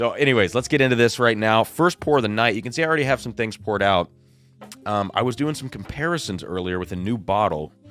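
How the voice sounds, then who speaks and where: A man's medium-pitched voice at a very fast pace, intonation lively, with music in the background. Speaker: whiskey reviewer and livestream host. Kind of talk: live stream whiskey tasting. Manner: casual, filler-heavy.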